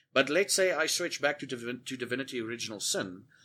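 A man's fairly high voice has a bright, sharp tone and lively intonation at a fairly quick pace, in a very clean recording with a silent background. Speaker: podcast host and Twitch streamer. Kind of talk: casual chat. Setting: Discord call.

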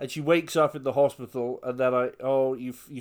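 In a British accent, a man speaks with an animated tone. His pitch is fairly high. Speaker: podcast co-host. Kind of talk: casual comedic chat. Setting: remote recording via Skype. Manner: animated, jokey.

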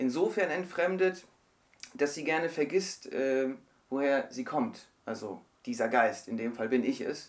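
With lively intonation, a man speaks in an unremarkable speaking voice at a fairly high pitch. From Germany. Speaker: novelist. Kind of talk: interview. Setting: radio studio.

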